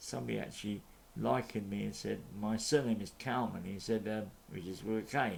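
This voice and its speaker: A man's fairly low-pitched voice with vocal fry at a moderate pace. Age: 60s. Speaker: YouTube commentator. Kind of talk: opinion monologue. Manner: halting.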